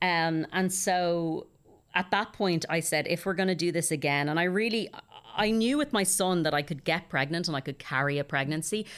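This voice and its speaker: A woman with a fairly low voice and an Irish accent speaks at a moderate pace, with ordinary pitch variation. Her loudness is very even, and the recording is very clean with a silent background. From Ireland. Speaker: actor. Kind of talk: interview, casual chat.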